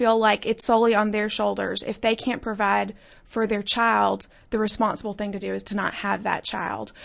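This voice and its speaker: Against a quiet background, a woman with an Alabama accent talks at a moderate pace and a fairly high pitch. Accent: Southern US (Alabama). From US South (Birmingham, Alabama). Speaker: podcast producer and pro-life activist. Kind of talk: interview. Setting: studio.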